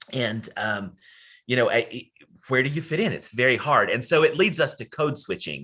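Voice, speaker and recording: Over a quiet background, a man with an Appalachian accent speaks at a moderate pace with a medium pitch, a bright, sharp tone and lively intonation. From Western North Carolina, Appalachia. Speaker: academic presenter. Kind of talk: lecture.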